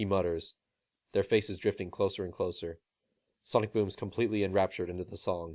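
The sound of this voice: The background stays quiet while an unforced reading voice goes on.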